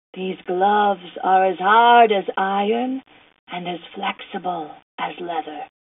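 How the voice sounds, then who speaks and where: A female-sounding voice at medium pitch puts on a character voice at a fairly slow pace. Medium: audio drama.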